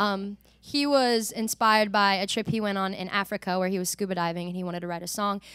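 A woman talks at a very fast pace, her voice dry with no echo against a quiet background. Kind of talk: song introduction between songs. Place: studio. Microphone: studio mic.

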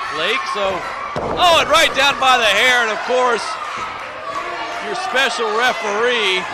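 A man speaks at a fairly slow pace, with long, frequent pauses. The sound is dry with no echo, over loud background noise. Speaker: wrestling commentator. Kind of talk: live wrestling play-by-play commentary. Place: hall.

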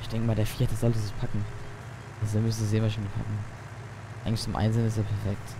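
Amid audible room echo, a man with a fairly low pitch talks at a very fast pace in a monotone, flat intonation, broken by long, frequent pauses. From Palatinate, Germany (Leiningerland). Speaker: gaming YouTuber. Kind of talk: let's play commentary. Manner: casual, thinking aloud.

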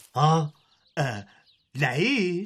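A man puts on a whiny character voice at a fairly high pitch. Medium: cartoon. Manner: whiny, complaining.

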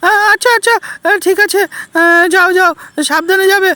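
Squeaky and extremely high-pitched, a woman uses a put-on character voice. She speaks at a fairly quick pace. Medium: machinima.

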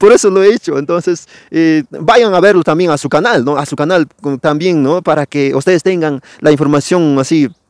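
A man with a fairly high voice talks at a moderate pace with ordinary pitch variation, the sound dry with no echo against a quiet background. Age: young. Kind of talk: channel outro address; interview with commentary. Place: forest. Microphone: lapel.

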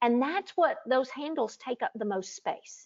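A woman speaks with a high pitch at a fairly slow pace. The background is quiet. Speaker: guest. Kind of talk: interview answer. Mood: calm, explanatory. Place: home room. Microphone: earbuds.

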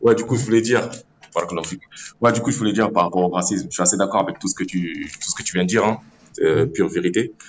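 A man speaks very fast in a fairly low pitch with ordinary pitch variation. He leaves long, frequent pauses. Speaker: caller. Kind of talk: call-in discussion.

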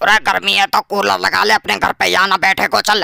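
A man in a put-on character voice, high for a man and fairly quick. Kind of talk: comic dubbing. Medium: fan dub. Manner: rough, bossy, threatening.

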